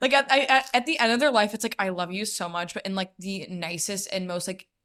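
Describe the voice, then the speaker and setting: Loud and animated, a woman speaks in a bright, sharp tone at a fairly quick pace on a very clean recording with a silent background. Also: medium pitch for a woman, lively intonation. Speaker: podcast co-host. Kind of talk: casual chat.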